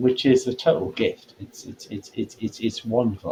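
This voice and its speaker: Over noticeable background noise, a man talks with a medium pitch. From England, Birmingham. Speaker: actor turned documentary producer. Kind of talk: interview chat. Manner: stammering repetitions; animated.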